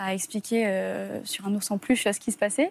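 At a fairly slow pace and medium pitch, a woman speaks on a very clean recording with a silent background. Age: 20s. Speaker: abuse survivor. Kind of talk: testimony. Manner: halting.

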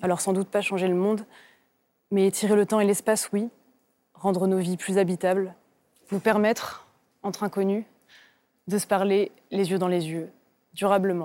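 A woman's dark, mellow tone in monotone, flat intonation, broken by long, frequent pauses. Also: medium pitch for a woman, moderate pace, very clean recording, silent background. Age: 30s. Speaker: novelist. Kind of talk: TV literary talk show interview.

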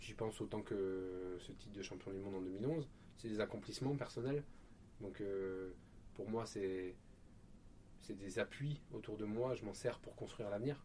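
With long, frequent pauses, a man speaks fairly slowly at a fairly low pitch and with ordinary pitch variation. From Marseille, southern France. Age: 30s. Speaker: Olympic canoeist. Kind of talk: interview. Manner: hesitant, many repetitions.

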